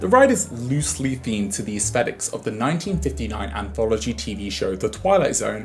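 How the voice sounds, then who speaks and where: A man with a European accent talks at a very fast pace. There is noticeable background noise. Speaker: video essayist. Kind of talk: video essay narration.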